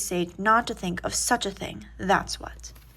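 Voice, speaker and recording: Recorded very cleanly against a silent background, a woman speaks with a bright, sharp tone. Vocal fry runs through her voice. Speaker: audiobook reader. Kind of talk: reading aloud. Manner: soft-spoken.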